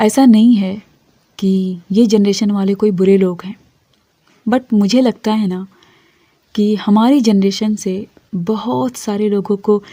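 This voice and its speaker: Dark, mellow, somewhat breathy tone with fairly even intonation. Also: woman. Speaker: motivational speaker. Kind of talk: motivational monologue to camera.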